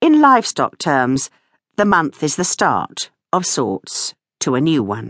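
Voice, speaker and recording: A woman speaks at a very slow pace with a very deep, low pitch, very wide pitch swings and a playful, warm tone. The sound is dry and close with no echo, and the background is quiet. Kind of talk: audiobook narration, reading a memoir aloud. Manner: wry, dryly humorous, playful; warm, expressive, storyteller pacing with character voices.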